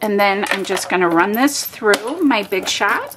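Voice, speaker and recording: A woman talks very slowly while noticeable background noise carries on. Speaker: paper craft demonstrator. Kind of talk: craft tutorial. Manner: animated. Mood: cheerful, chatty.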